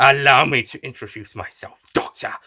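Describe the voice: Putting on a character voice, a man speaks at medium pitch and a moderate pace, with ordinary pitch variation, a bright, sharp tone and a slightly husky edge.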